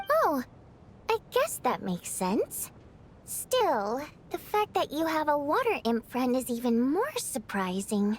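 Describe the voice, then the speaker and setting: A put-on character voice, female-sounding and high-pitched, with very wide pitch swings at a fairly slow pace, over clear background noise. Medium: video game.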